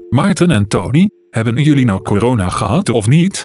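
A man uses a robotic, put-on character voice at medium pitch.

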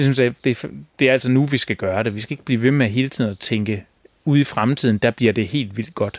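A man talks at a very fast pace with medium pitch in a dry, close sound with no echo. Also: ordinary pitch variation, very clean recording, silent background. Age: 40s. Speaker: designer and folk high school staff. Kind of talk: interview. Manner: halting, many fillers.

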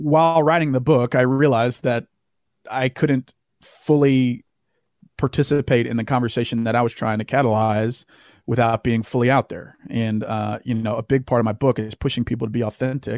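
In a very clean recording with a silent background and a dry, close sound with no echo, a man with a Southern US accent talks at a moderate pace with fairly even intonation. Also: medium pitch for a man. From US South, Louisiana. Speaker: author and former Marine. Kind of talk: interview.

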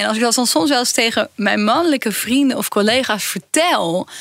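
A woman with a high voice and lively intonation talks at a moderate pace over noticeable background noise. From Brabant, Netherlands. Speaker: professor and podcast co-host. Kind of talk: casual chat.

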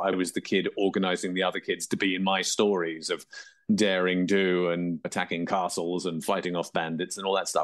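A very deep, low male voice in an English accent, flat and monotone, at a fairly quick pace. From England. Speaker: author and actor. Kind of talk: interview.

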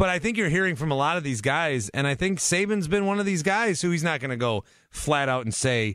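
This man has a plain, everyday voice with lively intonation. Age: 30s. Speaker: sports radio host. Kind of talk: call-in sports talk radio.

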